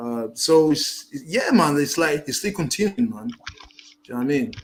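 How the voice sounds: A man talks at a moderate pace with vocal fry and a fairly high pitch. His pitch makes big swings.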